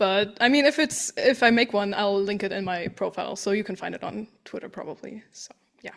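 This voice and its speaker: A woman with a non-native accent, medium pitch, ordinary pitch variation, a fairly quick pace and big swings in loudness. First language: not English. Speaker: artist and game fan. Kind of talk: casual chat. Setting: podcast recording.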